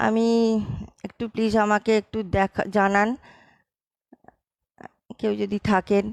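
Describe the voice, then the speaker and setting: The sound is dry and close, with no echo. A woman speaks at a medium pitch in a monotone, flat intonation. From Behala, Kolkata, India. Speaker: poetry reciter. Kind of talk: casual talk to audience, checking audio. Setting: live online session.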